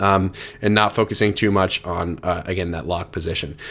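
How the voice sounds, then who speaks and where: A man speaks over noticeable background noise. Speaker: fitness coach. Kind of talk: tutorial. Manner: fast; filler-heavy, repeats words.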